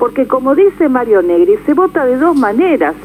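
A woman's pitch swings very widely as she keeps a moderate pace, with noticeable background noise behind her. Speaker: politician. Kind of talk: radio interview. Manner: animated.

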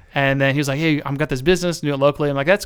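A man with a fairly high pitch speaks at a very fast pace in fairly even intonation, on a very clean recording with a silent background. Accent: US Midwestern. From central Ohio. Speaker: marketing business owner. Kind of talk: casual interview.

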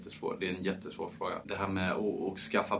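Here a man talks at a fairly quick pace. His pitch is very deep and low. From France, Paris. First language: French (speaking Swedish). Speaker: champagne producer. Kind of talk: interview.

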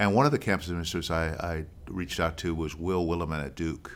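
A resonant man talks at a fairly quick pace in a very deep, low pitch. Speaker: actor and theater founder. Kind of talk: casual interview chat. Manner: articulate, clear.

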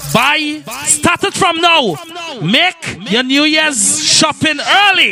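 With music in the background, a man with an extremely high pitch uses a raised, projected voice at a very slow pace, his intonation lively and his loudness very even. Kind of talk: radio DJ patter, hyped-up party promo and mixtape hosting with shout-outs and event ads. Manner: playful, teasing and flirtatious when addressing the ladies.

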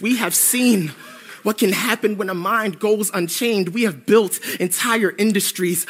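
A man talks at a high pitch and a moderate pace, his pitch varying in an ordinary way amid noticeable background noise. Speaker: spoken word poet. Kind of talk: spoken word performance poem, history-laden indictment of psychiatry. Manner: measured, declamatory, righteous crescendo.

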